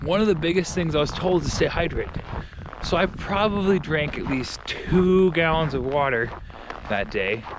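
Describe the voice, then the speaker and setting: Fairly high-pitched male speech with an American accent, lively intonation and a moderate pace, over noticeable background noise. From Minnesota, Rochester. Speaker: real estate agent. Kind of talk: casual vlog. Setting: outdoors. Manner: loud; halting.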